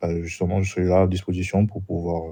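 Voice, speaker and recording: Very deep and low in pitch, a man talks fairly quickly in a dark, mellow tone with monotone, flat intonation. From Martinique. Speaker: roleplay applicant. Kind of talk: job interview. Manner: polite.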